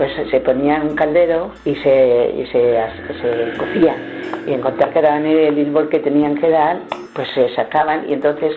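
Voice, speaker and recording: Over music in the background, a woman talks at a moderate pace with a very deep, low pitch and fairly even intonation. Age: 80s+. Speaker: retired villager recalling traditions. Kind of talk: interview answer. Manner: hesitant, conversational.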